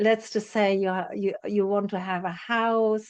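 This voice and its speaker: The delivery is an ordinary speaking voice with fairly even intonation. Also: woman. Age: 60s. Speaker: spiritual teacher and psychotherapist. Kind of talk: interview.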